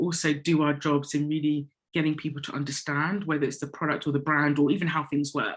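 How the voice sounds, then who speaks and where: With an English accent, a woman speaks at a fairly quick pace in a very deep, low pitch. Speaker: corporate communications director. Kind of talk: interview. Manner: conversational, many fillers.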